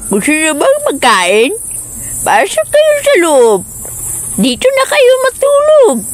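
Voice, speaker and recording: A woman performs a cartoonish character voice at a high pitch. She speaks at a very slow pace. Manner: sweet-talking, coaxing.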